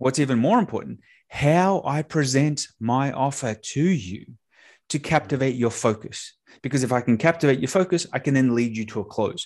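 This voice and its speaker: Speaking at a moderate pace with an American accent, a man with a medium pitch shows ordinary pitch variation over a quiet background. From Australia. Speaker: sales and marketing entrepreneur. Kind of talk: podcast interview. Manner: animated.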